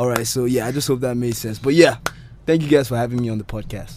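A man talks very fast in a medium-pitched voice while noticeable background noise runs underneath. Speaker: radio presenter; podcast guest. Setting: studio. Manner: lively, laughs often.

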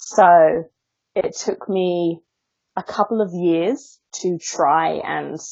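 A woman speaks with an Essex accent. Her pitch is medium. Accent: southern English (Essex). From Essex, England. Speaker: author and body-positivity influencer. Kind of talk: interview conversation. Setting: Skype call. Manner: articulate.

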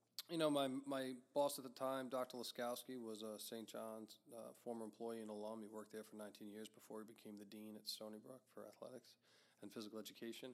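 Medium in pitch, a man speaks at a fairly quick pace. His is an unremarkable speaking voice with fairly even intonation. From Long Island, New York. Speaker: university athletics director. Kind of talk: interview.

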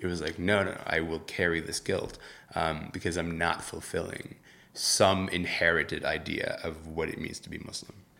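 Very deep and low in pitch, a man's bright, sharp voice moves at a moderate pace with monotone, flat intonation. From Sudan, moved to Canada at 12. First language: Arabic. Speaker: social media news editor. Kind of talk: reflective interview.

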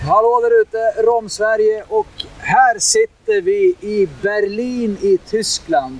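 Against noticeable background noise, a man talks at a very slow pace in a high pitch, with very wide pitch swings. His loudness stays very even, and the sound is dry and close with no echo. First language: Swedish. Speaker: podcast host. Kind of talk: interview; scripted intro. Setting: trade fair in Berlin.

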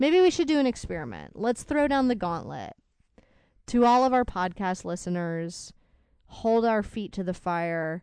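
Over a quiet background, a woman talks at a moderate pace. Her pitch swings very widely. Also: medium pitch for a woman. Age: 20s. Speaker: podcast co-host, spouse. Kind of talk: casual chat.

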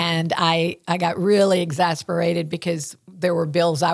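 Speaking with a Southern US accent, a woman uses a very deep, low pitch and fairly even intonation. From West Tennessee. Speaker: school communications director. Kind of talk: casual interview chat.

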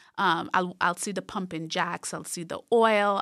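A woman's bright, sharp voice with vocal fry, fairly slow and fairly even in intonation, on a very clean recording with a silent background. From Trinidad and Tobago, rural south Trinidad. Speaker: professor. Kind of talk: interview. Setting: studio.

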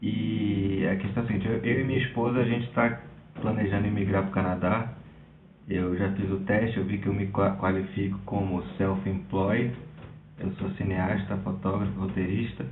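In a room with audible echo, a man speaks at a fairly low pitch and moderate pace with fairly even intonation. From Brazil, Recife. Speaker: filmmaker sending a question. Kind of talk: recorded voice question.

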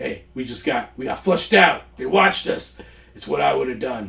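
Doing a put-on character voice, a man sounds gruff and gravelly at a medium pitch and a moderate pace. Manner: terse, matter-of-fact.

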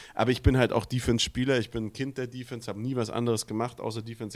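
A man talks on a very clean recording, silent background behind him. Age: 30s. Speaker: american football podcast co-host. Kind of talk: casual chat.

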